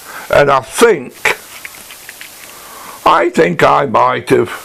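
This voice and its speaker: Noticeable background noise is present. A man speaks at a very slow pace. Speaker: woodworking channel host. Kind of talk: workshop tutorial. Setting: workshop. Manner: casual, hesitant; quiet. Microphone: poor sound, mic badly set up.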